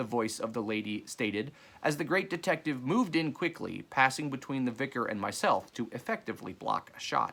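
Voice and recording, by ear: Lively intonation in a natural voice reading aloud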